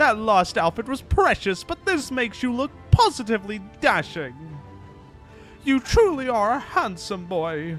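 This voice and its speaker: A man does a put-on character voice with high pitch and very wide pitch swings at a moderate pace. Music plays clearly in the background. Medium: game stream.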